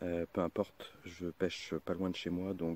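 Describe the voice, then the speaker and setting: A soft-spoken man talks at a fairly slow pace with a very deep, low pitch. The sound is dry and close, with no echo. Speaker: carp angler, channel owner. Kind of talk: casual vlog narration. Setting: outdoors, riverbank. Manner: soft-spoken, hushed.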